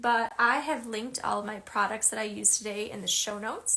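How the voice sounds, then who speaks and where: A woman speaks with a Chicago accent at a fairly high pitch. Her tone is bright and sharp. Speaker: art teacher. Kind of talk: tutorial. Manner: casual, many filler ums.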